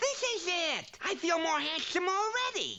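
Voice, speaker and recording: The pitch is extremely high. A cartoonish character voice carries it at a moderate pace. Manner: wisecracking.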